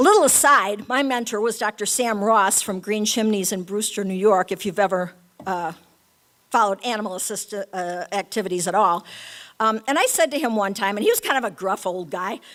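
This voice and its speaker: A woman at medium pitch with ordinary pitch variation and a fairly quick pace, in a very clean recording with a silent background. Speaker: animal-assisted therapy educator. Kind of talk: talk to an audience. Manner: fast.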